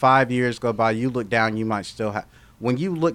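Here is a man with an unremarkable speaking voice at medium pitch. He talks at a fairly quick pace with ordinary pitch variation. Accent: American. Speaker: social media influencer. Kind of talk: casual chat.

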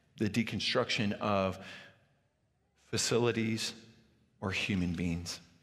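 Delivery comes at a moderate pace with fairly even intonation. Audible room echo surrounds the voice. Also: man. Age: 40s. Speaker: pastor. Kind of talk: sermon.

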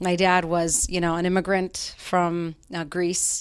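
A woman with an American accent speaks at a fairly slow pace in a fairly low voice, recorded very cleanly against a silent background. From Utah, Salt Lake City. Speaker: mortgage loan officer. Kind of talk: interview. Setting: office.

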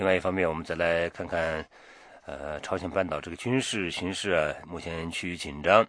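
A man's very deep, low-pitched voice, moving at a fairly quick pace. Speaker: radio news host. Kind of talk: news presenting. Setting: studio. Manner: formal.

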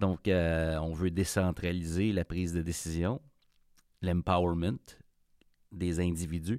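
The tone is dark and mellow, in a Quebec accent. The sound is dry and close, with no echo. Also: man, very clean recording, silent background. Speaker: podcast host. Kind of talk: casual interview conversation. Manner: hesitant, repetitive.

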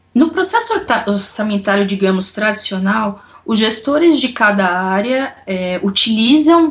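At a fairly slow pace and medium pitch, a woman speaks with noticeable background noise. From Brazil, São Paulo city. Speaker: corporate controller. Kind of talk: interview.

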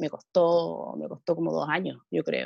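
The woman's voice sounds dry and close, with no echo. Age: 40s. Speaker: amateur triathlete. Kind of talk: casual interview.

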